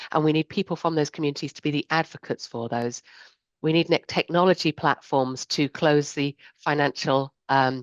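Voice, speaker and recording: Dry and close with no echo, a woman's very deep, low voice holds fairly even intonation. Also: quiet background. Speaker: insurance sustainability strategist. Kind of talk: panel discussion. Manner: fast.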